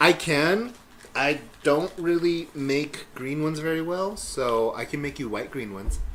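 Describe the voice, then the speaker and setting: Lively in intonation, a man talks fairly slowly at a fairly high pitch. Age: 30s. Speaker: podcast co-host. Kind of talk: casual chat. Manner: loud; animated.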